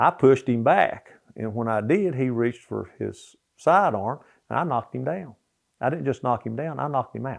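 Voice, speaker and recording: With an Appalachian accent, a man speaks at a moderate pace in a medium-pitched voice with vocal fry and lively intonation. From US Appalachia, southwest Virginia (Richlands). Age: 70s. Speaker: former coal miner. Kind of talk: casual storytelling interview. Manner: halting, many fillers and restarts.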